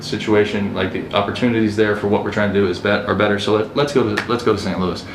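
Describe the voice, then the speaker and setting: A man talks at a very fast pace with an American accent. Noticeable background noise and audible room echo are present. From US East Coast, Baltimore area. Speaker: real estate agent and investor. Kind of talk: podcast interview. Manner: casual, with many fillers and restarts.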